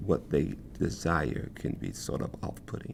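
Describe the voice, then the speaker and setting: Vocal fry runs through a man's voice as he speaks at a very slow pace. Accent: American. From US South. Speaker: choreographer. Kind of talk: testimony. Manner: halting, with repetitions.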